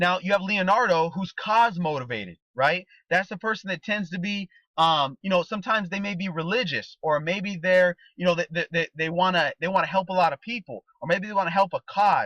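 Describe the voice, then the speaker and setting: A man speaks in a bright, sharp, high-pitched voice with ordinary pitch variation. The background is quiet, and the sound is dry and close with no echo. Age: 30s. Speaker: network marketing trainer. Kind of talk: motivational training talk. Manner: fast; animated.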